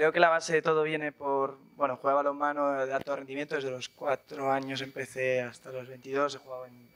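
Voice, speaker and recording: Fairly high-pitched and delivered at a fairly quick pace, this man's speech has a monotone, flat intonation. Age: 20s. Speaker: startup founder. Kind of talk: panel interview. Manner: casual, hesitant with fillers.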